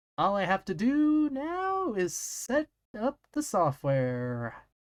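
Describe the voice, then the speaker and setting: A put-on character voice, fairly high in pitch, very slow, with very wide pitch swings. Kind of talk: comic read-aloud on stream. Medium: game stream.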